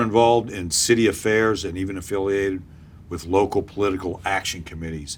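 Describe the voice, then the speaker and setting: Talking at a fairly quick pace, a man has a fairly low pitch and an unremarkable speaking voice. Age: 60s. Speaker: interviewer. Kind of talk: candidate interview.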